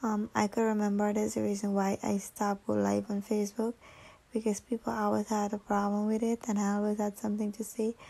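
A woman's tired tone at a fairly quick pace. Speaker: makeup artist. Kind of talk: tutorial voice-over. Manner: tired, casual.

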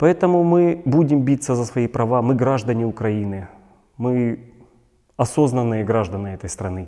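Against a quiet background, a man with a dark, mellow tone speaks at a moderate pace with long, frequent pauses. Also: medium pitch for a man, lively intonation. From Donetsk, eastern Ukraine. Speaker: displaced person activist. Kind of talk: video blog monologue. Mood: serious, earnest. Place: studio.

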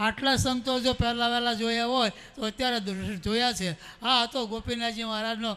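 The voice is raised and projected. Its intonation stays fairly even. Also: man, extremely high pitch for a man. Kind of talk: memorial tribute speech. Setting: assembly hall with audience, wireless microphone.

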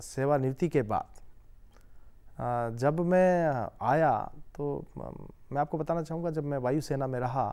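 At a very slow pace, a man speaks in a fairly high pitch with a dark, mellow tone. The background is quiet. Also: ordinary pitch variation. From Himachal Pradesh, India. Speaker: member of parliament; politician guest. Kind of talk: interview. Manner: formal. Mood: calm, smiling. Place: studio. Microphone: lapel.

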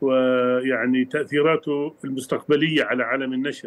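The voice is monotone, with flat intonation. It moves at a moderate pace. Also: man. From Jordan. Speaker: book publisher. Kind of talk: TV news interview. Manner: halting, with hesitations.

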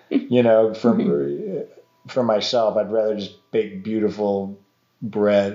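A man with an American accent speaks at a very slow pace in a fairly low pitch with ordinary pitch variation. There is audible room echo over a quiet background. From Montana. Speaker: artisan baker and falconer. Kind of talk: casual conversation. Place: home room.

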